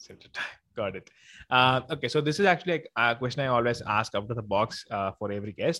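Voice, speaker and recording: On a very clean recording with a silent background, a man speaks very fast at medium pitch with big swings in loudness. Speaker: podcast host. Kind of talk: casual interview. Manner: talkative.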